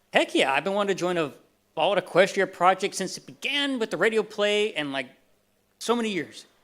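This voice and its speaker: In a very clean recording with a silent background, a man with a Southern US accent talks in a high pitch with lively intonation. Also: fairly quick pace. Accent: natural Southern. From Texas. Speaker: convention panelist, voice actor for a fan animation. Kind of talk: convention panel talk. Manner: casual, halting with fillers.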